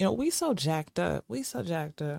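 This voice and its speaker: A woman's very deep, low voice, animated in tone, at a fairly slow pace, in a dry, close sound with no echo. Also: very clean recording, silent background. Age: 30s. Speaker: podcast host. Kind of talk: casual monologue.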